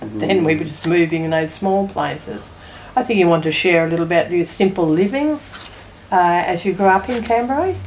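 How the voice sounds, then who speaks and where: Against noticeable background noise, a woman with an Australian accent speaks fairly low with lively intonation. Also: moderate pace. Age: 80s+. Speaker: family elder. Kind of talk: family oral history interview.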